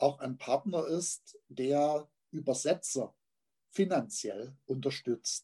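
A man's voice has a dark, mellow tone with ordinary pitch variation. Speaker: literary magazine editor and poet. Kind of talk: interview. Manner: halting, many fillers.

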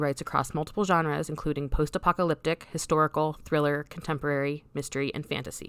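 A woman with a very deep, low pitch and an American accent at a very fast pace, on a very clean recording with a silent background. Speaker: podcast host. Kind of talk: casual interview chat.

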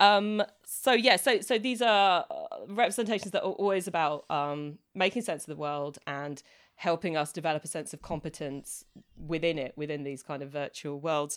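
On a very clean recording with a silent background, a woman with a plain, everyday voice speaks at a moderate pace in a fairly low pitch with lively intonation. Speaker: podcast co-host. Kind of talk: casual chat.

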